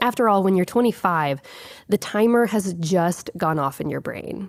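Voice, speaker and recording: A woman talks at a moderate pace in a plain, everyday voice, pitched in the middle range with ordinary pitch variation. The sound is dry and close, with no echo. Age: 30s. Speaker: podcast host. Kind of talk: reflective monologue. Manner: calm.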